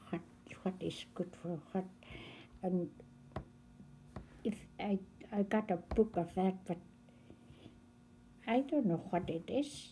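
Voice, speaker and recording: A somewhat breathy, dark and mellow woman's voice at medium pitch, with ordinary pitch variation and a very slow pace. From northern Canada (Fort McPherson, NWT). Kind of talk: oral history interview. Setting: recorded interview on camera.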